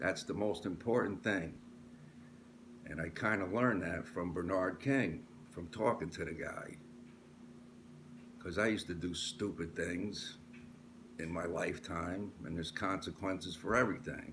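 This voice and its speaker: A man with a very deep, low voice speaks at a moderate pace with long, frequent pauses, and the room echo is audible. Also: ordinary pitch variation. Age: 60s. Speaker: sports commentator vlogger. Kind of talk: casual monologue. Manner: animated.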